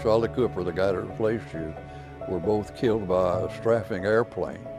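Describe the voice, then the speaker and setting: A man talks at a fairly quick pace in an American accent, with a fairly low pitch. His pitch variation is ordinary, and music plays in the background. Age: 80s+. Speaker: war veteran. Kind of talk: interview answer.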